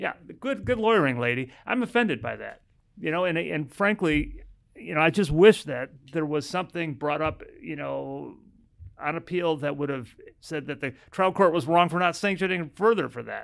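With an American accent and lively intonation, a man talks at a fairly high pitch and fairly quick pace, leaving long, frequent pauses, over a quiet background. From US Midwest (Chicago). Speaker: family law attorney. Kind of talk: casual chat. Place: office. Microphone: studio mic.

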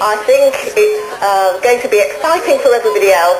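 Delivery is at a moderate pace, with noticeable background noise. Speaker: newly ordained priest opening the carnival. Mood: enthusiastic. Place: open country.

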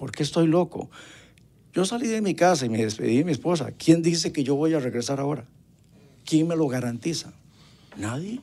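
A man with a dark, mellow tone speaks at a moderate pace with lively intonation. Long, frequent pauses break up his speech. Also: fairly high pitch for a man. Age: 70s. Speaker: retired trumpet player and evangelist musician. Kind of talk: interview testimony.

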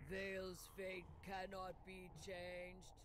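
A robotic put-on character voice at middle pitch moves at a very slow pace over loud background noise. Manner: intoning, solemn.

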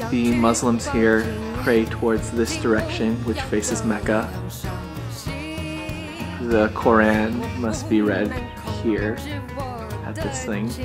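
With long, frequent pauses, a man talks at a very slow pace. Clear music plays in the background. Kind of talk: casual vlog chat. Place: church. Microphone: phone near.

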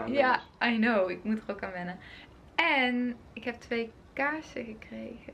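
The speech moves at a very slow pace with ordinary pitch variation. Its loudness swings widely. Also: woman, fairly high pitch for a woman. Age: 20s. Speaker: student. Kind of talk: casual vlog talk to camera. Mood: cheerful, relaxed. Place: home room. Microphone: phone near.

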